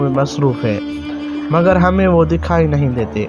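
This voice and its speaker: Music plays in the background as a man speaks at medium pitch. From Pakistan. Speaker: voice over artist. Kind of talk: religious story narration.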